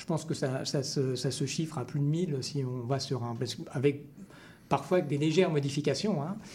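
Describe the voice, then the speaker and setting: Talking fairly fast, a man with a fairly high, somewhat breathy voice shows ordinary variation in pitch. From France. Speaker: folk dance event organizer. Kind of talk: radio interview. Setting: radio studio.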